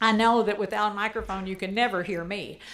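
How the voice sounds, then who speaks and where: A woman talks loudly, and audible room echo surrounds her voice. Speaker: HOA president. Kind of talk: town hall address.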